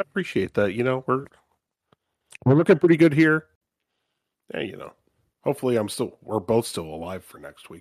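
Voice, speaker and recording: In a dry, close sound with no echo, a man speaks at a medium pitch and a fairly quick pace, with very wide pitch swings, big swings in loudness, and long, frequent pauses. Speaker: podcast co-host. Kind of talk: casual chat.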